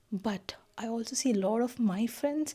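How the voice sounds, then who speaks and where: A soft-spoken woman talks in a dark, mellow tone. Her voice is somewhat breathy. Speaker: lifestyle vlogger, new mother. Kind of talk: casual vlog talk to camera.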